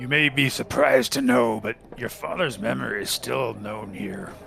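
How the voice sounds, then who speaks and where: Over clear background noise, a man uses a raspy, rumbling put-on character voice at medium pitch and a moderate pace. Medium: actual play. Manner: measured, maternal, speaks of herself in third person.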